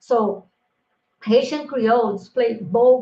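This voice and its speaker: A woman with a Brazilian accent, fairly high in pitch, with ordinary pitch variation. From Brazil, Minas Gerais (Triângulo Mineiro). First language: Brazilian Portuguese. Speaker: linguistics professor. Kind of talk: conference lecture. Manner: halting with many fillers.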